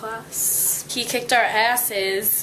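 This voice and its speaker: A woman's voice over noticeable background noise. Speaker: college vlogger. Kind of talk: casual vlog. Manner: animated.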